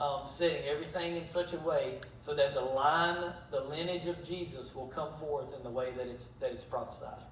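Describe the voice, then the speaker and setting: There is audible room echo and noticeable background noise. A man talks with a fairly high pitch. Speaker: Bible teacher. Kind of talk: Bible study teaching.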